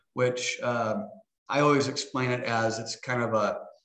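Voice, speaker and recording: Audible room echo around a man's medium-pitched voice, fairly slow in pace, with ordinary pitch variation. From Nebraska, US Midwest. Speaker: health insurance agent. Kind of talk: casual interview.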